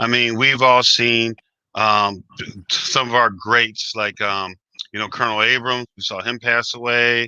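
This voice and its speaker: Speaking at a fairly slow pace, a man with an American accent holds a medium pitch in a monotone, flat delivery. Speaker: DJ and music historian, interview host. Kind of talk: interview.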